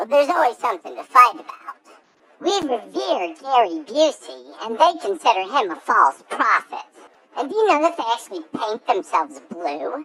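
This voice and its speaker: The speaker uses a put-on character voice at a fairly high pitch. Pitch swings very widely at a moderate pace. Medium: audio drama. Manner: earnest, deadpan.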